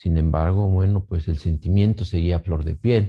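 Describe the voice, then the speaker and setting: Slow-paced and fairly even in intonation, a man speaks with a very deep, low pitch in a dark, mellow tone that is somewhat breathy. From Mexico, Pachuca, Hidalgo. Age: 50s. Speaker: bereaved family member. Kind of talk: testimony. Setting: pre-recorded video. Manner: halting.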